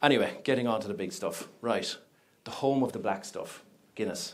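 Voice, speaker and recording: Someone speaks with an Irish accent at a moderate pace, using ordinary pitch variation. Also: man. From Ireland. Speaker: project management company representative. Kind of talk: conference talk. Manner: animated, conversational.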